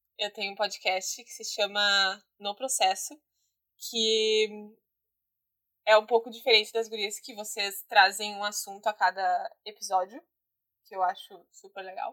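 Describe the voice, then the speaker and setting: Pausing long and often, a woman speaks at a fairly high pitch with big swings in loudness. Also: ordinary pitch variation, fairly slow pace. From southern Brazil, Guaíba (Rio Grande do Sul). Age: 20s. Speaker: photographer and podcast guest. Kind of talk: casual chat. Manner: laughs often; animated.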